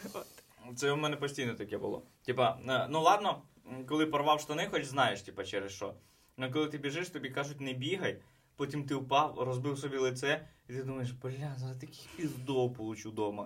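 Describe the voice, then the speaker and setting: This man's voice sits fairly high and shows ordinary pitch variation. He talks at a fairly quick pace broken by long, frequent pauses. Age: 20s. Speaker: stand-up comedian. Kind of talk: casual chat; scripted narration.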